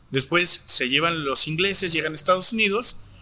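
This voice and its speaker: A man's speech shows ordinary pitch variation while noticeable background noise fills the recording. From Torreón, Coahuila, northern Mexico. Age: 30s. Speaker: chef and wine educator. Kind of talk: guided tasting; casual interview chat. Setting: restaurant.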